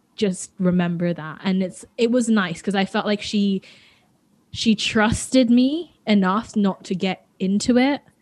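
At a fairly slow pace, a woman talks at a medium pitch with ordinary pitch variation. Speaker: podcast co-host. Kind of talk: casual chat.

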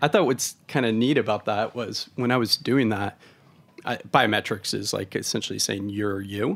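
This man has an unremarkable speaking voice with an American accent and a fairly low pitch. He talks at a moderate pace with fairly even intonation. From Oregon, US West Coast. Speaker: supply chain tech founder, military veteran. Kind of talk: interview.

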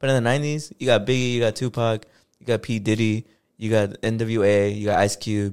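A man at a moderate pace, an ordinary speaking voice, medium pitch, and fairly even intonation, in a very clean recording with a silent background. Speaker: podcast co-host. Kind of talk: casual chat.

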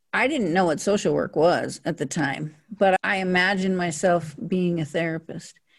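A woman with an ordinary speaking voice, fairly low in pitch, with an American accent, ordinary pitch variation, a moderate pace, hardly any pauses and a quiet background. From Montana (Billings). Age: 60s. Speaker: social worker and therapist. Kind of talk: interview.

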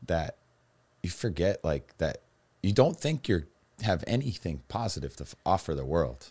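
A man with an American accent, very deep, low pitch, vocal fry, lively intonation, and a fairly slow pace. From Massachusetts, Cape Cod. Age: 30s. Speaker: personal trainer and recovering alcoholic. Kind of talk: interview testimony about addiction and recovery.

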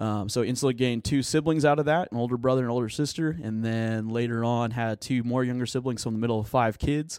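Speaking in an American accent, a man at medium pitch talks very fast with hardly any pauses and fairly even intonation. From Oklahoma, Tulsa area. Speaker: student pastor. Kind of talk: casual interview chat.

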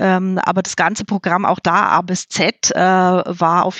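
A woman is speaking. Her pitch is medium. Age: 40s. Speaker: HR specialist. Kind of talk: podcast interview.

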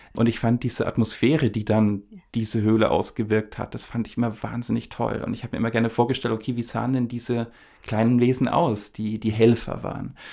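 A man's medium-pitched, fairly quick delivery with vocal fry, a dark, mellow tone and monotone, flat intonation, on a very clean recording with a silent background. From Upper Franconia, Germany. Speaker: podcast co-host, screenwriting. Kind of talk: casual conversation.

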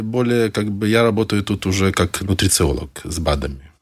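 A man at a moderate pace in a very clean recording, the background silent and the sound dry and close with no echo. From Belarus (Mogilev), Soviet Union. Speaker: fitness trainer and rabbi. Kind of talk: casual interview chat.

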